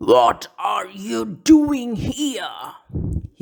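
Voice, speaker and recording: This man's voice is an extremely high put-on character voice. The pitch sits very far up for him. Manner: shouting, harsh.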